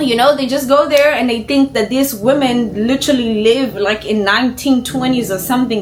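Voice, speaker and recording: A high-pitched woman at a moderate pace with ordinary pitch variation and noticeable background noise. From Kenya. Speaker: YouTuber, reaction commentator. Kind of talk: casual reaction commentary. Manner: animated.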